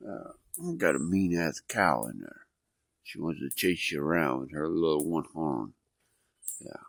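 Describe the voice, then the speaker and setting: A man speaks with a very deep, low pitch and ordinary pitch variation at a fairly slow pace, leaving long, frequent pauses. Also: big swings in loudness. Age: 60s. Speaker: homesteader vlogger. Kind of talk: casual vlog monologue.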